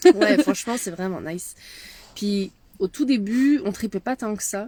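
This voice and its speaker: Lively intonation marks a woman's fairly high-pitched voice. She speaks at a fairly slow pace. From France. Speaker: medium and leadership mentor. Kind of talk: casual chat. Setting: in a van.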